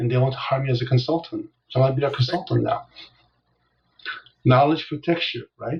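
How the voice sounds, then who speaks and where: Speaking fairly quickly but with long, frequent pauses, a man uses a fairly high, somewhat breathy voice and fairly even intonation. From South Korea, moved to Los Angeles at 9. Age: 60s. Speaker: business coach. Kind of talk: interview. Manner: gentle.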